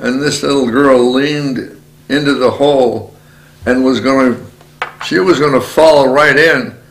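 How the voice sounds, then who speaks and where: Over noticeable background noise, a man with a medium pitch speaks fairly slowly with fairly even intonation. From Aegean Macedonia. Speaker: Macedonian immigrant to Canada. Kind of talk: oral history interview answer.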